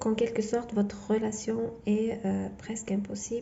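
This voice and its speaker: Audible room echo surrounds a woman with a non-native accent who speaks fairly slowly in a flat, monotone way. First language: not French (speaking French). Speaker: tarot reader. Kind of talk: tarot reading monologue; channel outro. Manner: halting, many fillers and repetitions.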